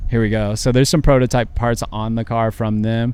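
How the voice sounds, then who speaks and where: A man uses a normal speaking voice at a medium pitch and a moderate pace. His intonation is fairly even, in a very clean recording with a silent background. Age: 30s. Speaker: car club owner. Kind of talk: casual interview. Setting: studio.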